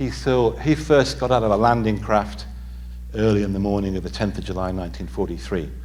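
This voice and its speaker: In an English accent, a man with a very deep, low pitch speaks at a fairly quick pace with very wide pitch swings, and audible room echo surrounds him. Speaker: author and historian. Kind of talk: lecture.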